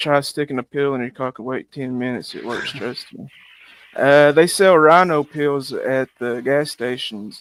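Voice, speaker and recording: The speaker has a rural US accent and talks at a moderate pace with ordinary pitch variation. The recording is dry and close, with no echo. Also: man, fairly high pitch for a man. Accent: regional rural US. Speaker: live streamer. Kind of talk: casual chat.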